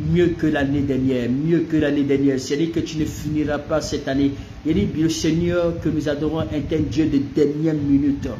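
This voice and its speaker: Over noticeable background noise and audible room echo, a man speaks at a moderate pace with a fairly high pitch. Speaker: pastor. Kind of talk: sermon. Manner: animated.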